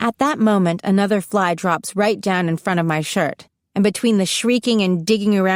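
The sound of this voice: The background stays quiet. The voice is an unforced reading voice, and its pitch varies in an ordinary way.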